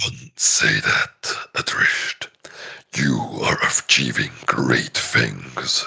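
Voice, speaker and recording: Whispering very slowly, a man puts on a character voice. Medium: actual play. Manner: calm, earnest, reassuring.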